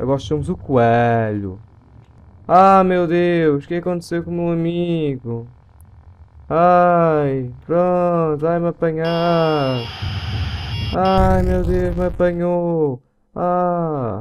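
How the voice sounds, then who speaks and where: A man talks at a very slow pace with ordinary pitch variation, long, frequent pauses, and light background noise. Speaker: gaming video host. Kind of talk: casual gameplay commentary and outro. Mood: startled during game scare. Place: home room. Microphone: headset.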